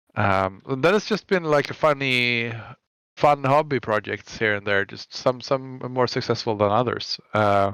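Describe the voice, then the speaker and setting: A man with a Swedish accent talks at a fairly slow pace and medium pitch, with ordinary pitch variation. The recording is very clean, with a silent background. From Sweden. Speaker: web developer. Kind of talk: interview. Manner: halting, many fillers and restarts.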